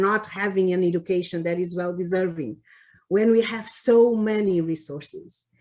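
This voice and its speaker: Speaking with a Cape Verdean accent, a woman keeps a medium pitch, fairly even intonation and a moderate pace. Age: 60s. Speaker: public health official. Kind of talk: award acceptance speech. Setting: virtual meeting. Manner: halting, many fillers.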